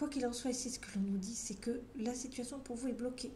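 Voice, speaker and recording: Audible room echo surrounds a woman speaking at a fairly quick pace in a monotone, flat intonation. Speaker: tarot card reader. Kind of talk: tarot reading video. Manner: conversational, some hesitations.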